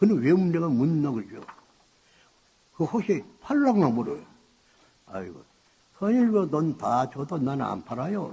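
Using very wide pitch swings, a man with a fairly high pitch speaks at a fairly slow pace with long, frequent pauses. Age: 80s+. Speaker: cult leader. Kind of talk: sermon to followers. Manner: rambling, incoherent.

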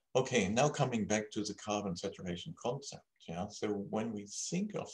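Against a quiet background, a man speaks at a moderate pace in a somewhat breathy voice with very wide pitch swings. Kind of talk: lecture. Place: home room. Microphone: webcam.

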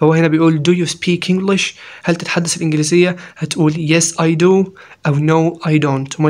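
A man talks at a moderate pace and a fairly high pitch, his intonation monotone and flat. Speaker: English teacher. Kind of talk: lecture.

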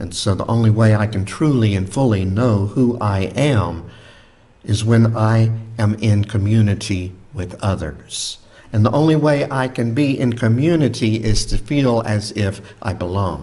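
Speaking at a fairly slow pace, a man with a fairly low pitch sounds somewhat breathy and uses ordinary pitch variation. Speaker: preacher. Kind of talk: sermon. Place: church. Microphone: studio mic.

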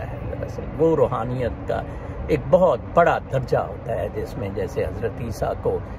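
A man talks at a very slow pace. Background noise is noticeable throughout. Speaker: religious commentator. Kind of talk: casual vlog commentary on religion and politics. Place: garden. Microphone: phone near.

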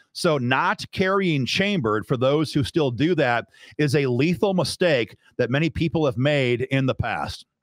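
With a Midwestern American accent, a man speaks at a moderate pace in a fairly high pitch, his intonation lively and his loudness very even. The sound is dry with no echo against a quiet background. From US Midwest, northwest Iowa. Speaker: gun rights advocate, video commentator; video commentator. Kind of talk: video commentary breakdown. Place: studio. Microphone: studio mic.

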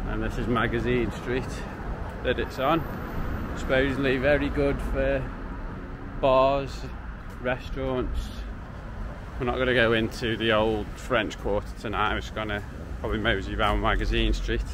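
Over noticeable background noise, a man talks at a moderate pace with long, frequent pauses, the sound dry with no echo. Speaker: travel vlogger. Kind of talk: casual vlog chat. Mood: relaxed, amused. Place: street. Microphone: phone near.

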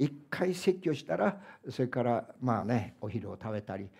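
At a fairly slow pace, a man speaks with very wide pitch swings. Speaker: pastor. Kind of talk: sermon. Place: church.

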